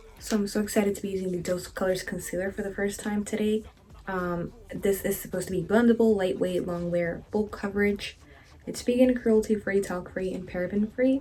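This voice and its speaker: This woman has a normal speaking voice at a medium pitch. She moves at a fairly quick pace with fairly even intonation. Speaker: makeup artist and beauty youtuber. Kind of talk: makeup tutorial. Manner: casual, filler-heavy.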